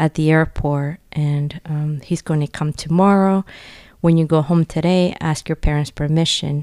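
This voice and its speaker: At a fairly slow pace, a woman talks in a Spanish accent with a very deep, low pitch. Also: very clean recording, silent background. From Nicaragua. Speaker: parish outreach coordinator, former nun. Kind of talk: faith testimony interview.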